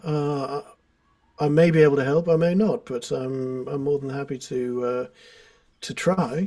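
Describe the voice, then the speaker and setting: A man with a British accent speaks at a fairly slow pace, his dark, mellow tone showing ordinary pitch variation. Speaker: guitar teacher. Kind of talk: casual chat. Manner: hesitant, filler-heavy.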